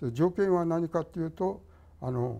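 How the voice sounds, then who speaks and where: A man talks at a moderate pace. His voice is fairly high in pitch and dark and mellow in tone. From Tokyo. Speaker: architect. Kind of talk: reminiscence in panel discussion. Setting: online panel discussion. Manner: halting, many pauses.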